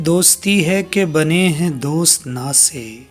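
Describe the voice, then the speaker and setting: A man speaks with music playing in the background. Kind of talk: poetry reading.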